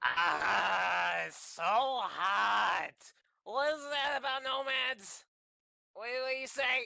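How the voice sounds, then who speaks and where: Very slowly and at a fairly high pitch, the speaker uses a put-on character voice. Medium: actual play.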